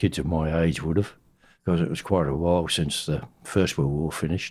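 With an Australian accent, a man speaks in a very deep, low voice in a very clean recording with a silent background. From Western Australia. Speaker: navy veteran. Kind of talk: oral history interview.

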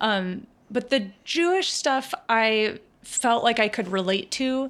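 A woman's fairly high-pitched, ordinary speaking voice with an American accent and ordinary pitch variation. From rural Virginia, US South. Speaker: musician. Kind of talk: casual chat. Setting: video call.

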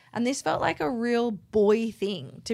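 On a very clean recording with a silent background, a woman with an Australian accent speaks fairly slowly, her pitch varying in an ordinary way. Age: 30s. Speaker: podcast co-host, artist. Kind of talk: casual chat.

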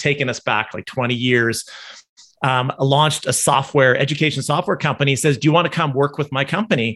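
This man has a fairly high pitch and a Canadian accent. It is a plain, everyday voice. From Canada. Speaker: entrepreneur. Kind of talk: casual panel chat. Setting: video call.

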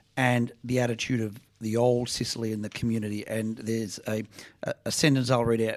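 On a very clean recording with total background silence, a man talks in an Australian accent. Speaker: think tank director. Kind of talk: book discussion.

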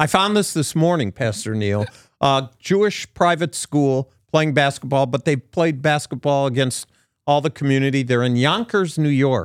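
A normal speaking voice with lively intonation and very even loudness comes through on a very clean, dry, close recording with a silent background and no echo. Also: man, fairly high pitch for a man, moderate pace. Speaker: podcast co-host, Bible teacher. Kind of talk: casual chat. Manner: joking.

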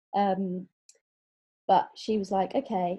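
Here is a woman with a dark, mellow tone. Her voice is somewhat breathy. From southwest England, Exeter. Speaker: theology college spouse, former corporate HR lead. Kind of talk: casual interview.

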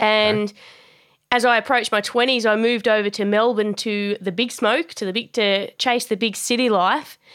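In an Australian accent, a woman with a fairly high pitch speaks at a moderate pace with fairly even intonation, on a very clean recording with a silent background. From Australia, Tasmania. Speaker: boxing and performance coach. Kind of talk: interview.

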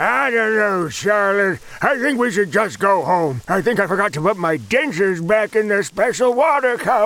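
With lively intonation and a high pitch, a man talks at a moderate pace with hardly any pauses. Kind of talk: comic overacting. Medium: audio drama. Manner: cheerful, doddering, enthusiastic.

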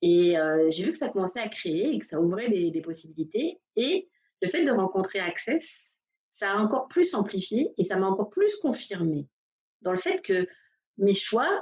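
Lively intonation in a woman's fairly slow, medium-pitched speech. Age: 40s. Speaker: massage therapist and coach. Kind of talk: interview. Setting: Facebook Live video call. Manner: halting.

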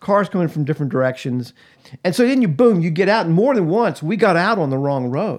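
Speaking fairly quickly in an American accent, a man uses a high pitch with very wide pitch swings. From US South, Atlanta, Georgia. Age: 60s. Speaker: pastor and podcast co-host. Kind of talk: casual chat.

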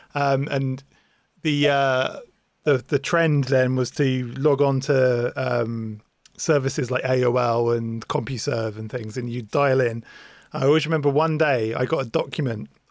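The speech comes at a fairly slow pace with fairly even intonation. The recording is very clean, with a silent background. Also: man, medium pitch for a man. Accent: English. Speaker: podcast host. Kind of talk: casual chat.

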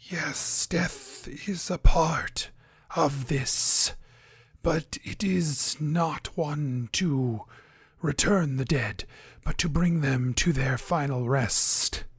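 A put-on character voice, raspy and set at a low-to-middle pitch. The delivery comes at a very slow pace. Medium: actual play. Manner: halting, formal and archaic.

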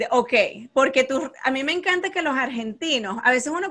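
A woman at a high pitch rattles along at a very fast pace with lively intonation. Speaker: podcast host, math content creator. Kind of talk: casual interview chat.

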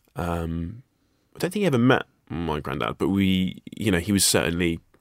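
With a very deep, low pitch and some vocal fry, a man speaks with ordinary pitch variation in a dry, close sound with no echo. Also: very clean recording, silent background. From Guernsey, Channel Islands. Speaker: actor and writer. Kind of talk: casual interview. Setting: studio. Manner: hesitant, many fillers.

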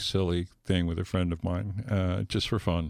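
A man with an American accent and a very deep, low voice at a moderate pace, fairly even intonation, dry, close sound with no echo, very clean recording with a silent background. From US West Coast (San Fernando Valley, Los Angeles). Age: 70s. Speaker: former actor and dancer. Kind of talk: casual interview chat. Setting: studio.

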